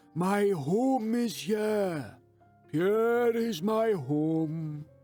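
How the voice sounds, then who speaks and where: Over faint music in the background, a man does a put-on character voice, pitched high and delivered at a very slow pace. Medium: read story. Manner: calm, steady.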